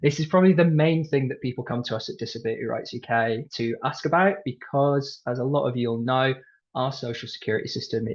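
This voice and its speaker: A man with a British accent, fairly high pitch and lively intonation, at a fairly quick pace against a quiet background. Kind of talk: webinar presentation. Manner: fast.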